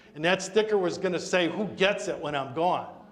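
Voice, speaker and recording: Audible room echo surrounds speech delivered at a moderate pace with ordinary pitch variation. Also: man. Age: 60s. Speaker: estate planning attorney. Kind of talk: community talk on wills. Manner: conversational.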